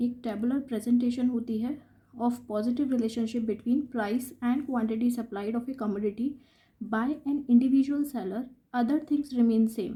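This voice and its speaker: Her voice is high-pitched yet dark and mellow in tone, as the woman speaks at a moderate pace in a flat monotone. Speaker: economics teacher. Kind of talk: lecture.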